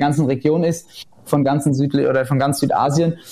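Here is a normal speaking voice from a man with a fairly high pitch. He talks at a moderate pace. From Germany, Rheinhessen. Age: 20s. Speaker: winemaker. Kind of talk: casual interview.

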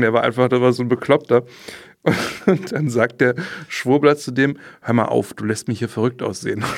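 A man with an ordinary speaking voice talks at a moderate pace, his pitch medium and its variation ordinary. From Berlin. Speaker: trainee journalist. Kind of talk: casual chat.

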